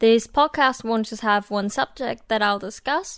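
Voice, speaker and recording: In a very clean recording with a silent background, a woman with a fairly high pitch speaks at a moderate pace with ordinary pitch variation. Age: 20s. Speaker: podcaster. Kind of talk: casual solo podcast talk. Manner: hesitant, many fillers.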